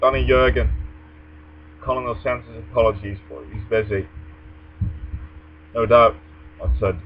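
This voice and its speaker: A man with a fairly low pitch speaks at a moderate pace, with long, frequent pauses. His pitch swings very widely and his loudness shifts greatly, against noticeable background noise. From Netherlands. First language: Dutch. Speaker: vlogger. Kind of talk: reading aloud; casual monologue. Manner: hesitant.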